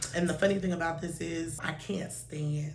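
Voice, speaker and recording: Recorded with audible room echo, a woman speaks at a fairly low pitch with fairly even intonation. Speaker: beauty vlogger. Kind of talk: product review. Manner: casual, filler-heavy.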